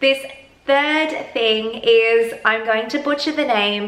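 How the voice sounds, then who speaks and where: Fairly even intonation from a woman with a fairly high pitch and an Australian accent, plus audible room echo and noticeable background noise. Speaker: self-help vlogger. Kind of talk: advice monologue. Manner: conversational.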